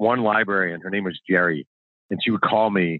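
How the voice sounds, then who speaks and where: With an American accent, a man talks at a moderate pace in a fairly low pitch, using an unremarkable speaking voice. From New York State (Mahopac, north of NYC). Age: 40s. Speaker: sports journalist and author. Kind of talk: casual interview. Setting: outdoors, phone call.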